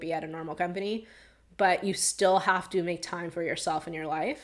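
A woman with a plain, everyday voice and a fairly low pitch speaks at a moderate pace with fairly even intonation, in a very clean recording against a silent background. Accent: American. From New York, Long Island. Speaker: tech product manager and engineer. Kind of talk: interview.

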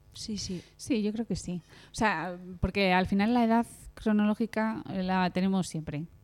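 A plain, everyday voice at a fairly slow pace, with ordinary pitch variation and a very clean recording over a silent background. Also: woman, medium pitch for a woman. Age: 30s. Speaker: podcast co-host. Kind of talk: casual chat.

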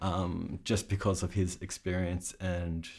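Somewhat breathy, a man with an Australian accent speaks in a very deep, low pitch. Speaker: sound supervisor. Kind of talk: casual interview.

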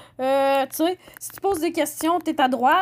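A woman with a Saguenay accent at a moderate pace with ordinary pitch variation. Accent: Québécois French, Saguenay. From Quebec, Saguenay. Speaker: podcaster. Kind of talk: solo commentary podcast. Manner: halting.

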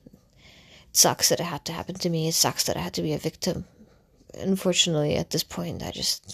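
A woman speaks with a very deep, low pitch. Vocal fry runs through her voice. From Russia. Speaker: content creator. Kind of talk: storytelling monologue. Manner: halting.

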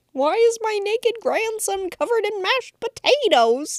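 A put-on character voice. It moves at a moderate pace. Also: woman, extremely high pitch for a woman. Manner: yelling, exasperated.

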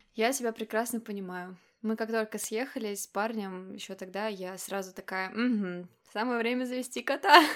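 Using a plain, everyday voice, a woman speaks at a fairly high pitch and a moderate pace with ordinary pitch variation. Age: 20s. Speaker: podcast host. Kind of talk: casual chat. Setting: call.

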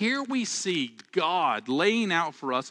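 Against a quiet background, a man speaks in a bright, sharp tone with very wide pitch swings. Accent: Southern US. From Alabama. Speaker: pastor. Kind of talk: sermon. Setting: church, livestreamed online.

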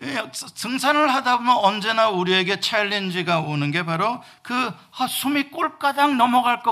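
With a raised, projected voice and a bright, sharp tone, a man speaks at a fairly slow pace in very wide pitch swings, on a very clean recording with a silent background. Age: 50s. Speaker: pastor. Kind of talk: sermon.

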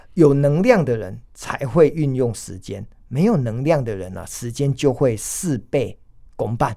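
A man talks fairly slowly at a medium pitch in a dark, mellow tone. His intonation is lively and his loudness swings widely. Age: 50s. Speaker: restaurant executive and author. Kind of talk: interview. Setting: studio. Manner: enthusiastic.

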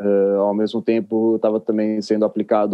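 The man's fairly low voice holds a monotone, flat intonation. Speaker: editor and music journalist. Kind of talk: casual interview.

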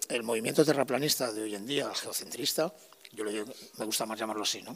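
In a very clean recording with a silent background, a man with a plain, everyday voice speaks at a medium pitch with ordinary pitch variation. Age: 50s. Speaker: sound technician and musician. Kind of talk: interview.

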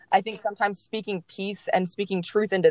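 A woman speaks with a Texan accent at a medium pitch. The sound is dry and close, with no echo. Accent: Texan American. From Texas, Mansfield. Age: 20s. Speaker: church communications staff. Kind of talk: casual interview, personal testimony.

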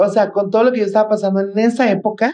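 A woman talks at a very fast pace. Her voice is fairly high, with a dark, mellow tone. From Mexico, Guadalajara, Jalisco. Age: 30s. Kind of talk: interview.

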